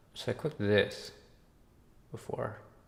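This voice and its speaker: A soft-spoken man mumbles with vocal fry. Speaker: game developer streamer. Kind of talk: live stream commentary. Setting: live stream. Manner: mumbling.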